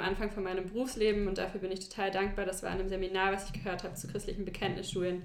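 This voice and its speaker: A woman with a medium pitch speaks in a room with audible echo. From China (German-American family). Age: 20s. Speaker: teacher. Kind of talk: casual interview.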